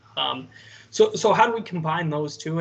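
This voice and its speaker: Speech moves at a fairly quick pace with ordinary pitch variation over noticeable background noise. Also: man. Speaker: AI consultant panelist. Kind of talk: panel presentation. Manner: repetitive filler-heavy, stammering restarts; fast.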